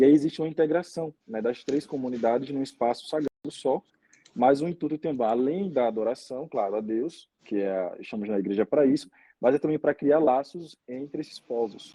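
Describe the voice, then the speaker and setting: Speaking in a plain, everyday voice, a man with a fairly high pitch keeps a moderate pace and ordinary pitch variation. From Brazil, Aracaju, Sergipe. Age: 20s. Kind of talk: interview conversation.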